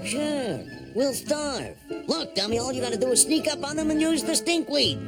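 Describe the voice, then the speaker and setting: A cartoonish, high-pitched character voice at a moderate pace, with clear music in the background. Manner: bossy, sly.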